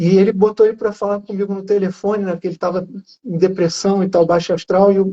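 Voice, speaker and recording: At a fairly quick pace, a man talks in a high pitch with a Rio de Janeiro accent and monotone, flat intonation. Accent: carioca. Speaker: journalist with Parkinson's. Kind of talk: casual live interview. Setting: Instagram live.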